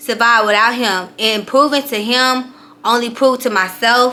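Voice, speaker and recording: With an ordinary speaking voice, a woman talks at a fairly slow pace, her fairly high pitch showing ordinary pitch variation. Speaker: life coach. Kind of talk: motivational talk to camera. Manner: casual, filler-heavy.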